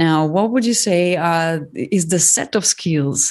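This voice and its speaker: A woman speaks in an ordinary speaking voice at a fairly low pitch, with ordinary pitch variation. Her pace is fairly slow, over a quiet background. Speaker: podcast host interviewer. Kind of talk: interview.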